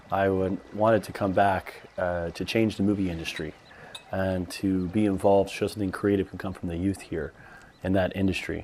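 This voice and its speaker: Over noticeable background noise, a man with a very deep, low voice talks at a moderate pace in a flat monotone. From Saudi Arabia, expatriate American family. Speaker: filmmaker. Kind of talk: documentary interview.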